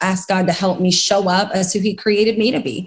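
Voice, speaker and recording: A woman's somewhat breathy voice, fairly slow and fairly even in intonation. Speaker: Bible teacher and author. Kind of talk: podcast conversation.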